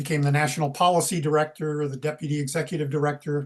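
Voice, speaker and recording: A man talks at a fairly quick pace in a fairly high pitch. His voice is somewhat breathy, with monotone, flat intonation. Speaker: retired environmental activist. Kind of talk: casual chat.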